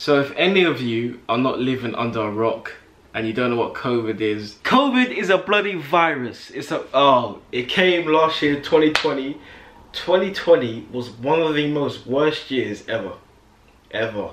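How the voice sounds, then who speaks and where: With lively intonation and an upbeat tone, a man speaks at a moderate pace amid audible room echo. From England. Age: 20s. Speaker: YouTuber. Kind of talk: casual talk to camera. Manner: upbeat, chatty. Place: home room. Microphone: phone near.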